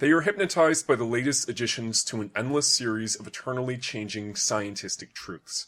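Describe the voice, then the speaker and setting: With an unremarkable speaking voice, a man talks at a moderate pace in a medium pitch, his intonation lively. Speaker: audiobook narrator. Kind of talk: reading aloud.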